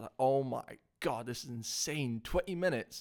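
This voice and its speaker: A man with a Scottish accent speaks at a medium pitch. The recording is very clean and the background silent. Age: 20s. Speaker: CrossFit athlete and coach. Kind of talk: casual chat.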